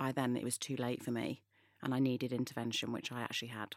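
In a Mancunian accent, a woman with a very deep, low voice speaks at a fairly quick pace on a very clean recording with a silent background and a dry, close sound with no echo. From northern England, Manchester. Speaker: influencer. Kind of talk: interview.

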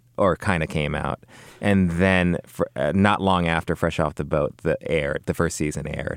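The sound is dry and close, with no echo. Delivery comes at a moderate pace with fairly even intonation. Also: man, very deep, low pitch for a man. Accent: Californian. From Los Angeles, West LA. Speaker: actor. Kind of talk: casual chat.

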